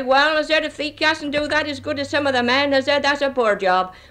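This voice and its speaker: A woman talks at a fairly quick pace in a high pitch, with a Gloucestershire accent. Her tone is bright and sharp, and her pitch moves in an ordinary way. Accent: broad Gloucestershire dialect. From Gloucestershire, England. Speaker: road sweeper. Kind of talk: interview answer. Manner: outspoken, blunt.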